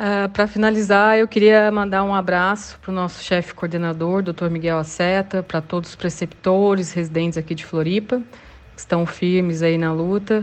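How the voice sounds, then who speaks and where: In an ordinary speaking voice, a woman talks at a moderate pace and medium pitch, her intonation fairly even, her loudness swinging widely, and hardly any pauses between words. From Brazil, Ribeirão Preto (São Paulo state). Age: 30s. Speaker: emergency physician. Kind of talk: casual interview.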